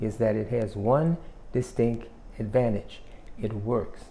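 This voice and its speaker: A dark, mellow tone at a fairly slow pace. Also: man. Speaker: self-help YouTuber. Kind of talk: motivational talk.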